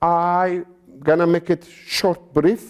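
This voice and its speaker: A man's high-pitched voice with a Turkish accent. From Turkey (Sivas region). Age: 60s. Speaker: genocide survivor descendant. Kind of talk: interview. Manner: halting.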